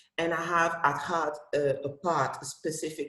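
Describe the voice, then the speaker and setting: Very slow, flat, monotone speech in a French accent. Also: woman. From Cameroon. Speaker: comic book author and festival director. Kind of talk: panel discussion. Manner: halting.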